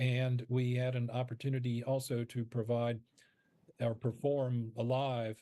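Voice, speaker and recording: A man's voice, dark and mellow in tone. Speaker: founder of a university radio-play program, guest interviewee. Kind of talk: interview answer.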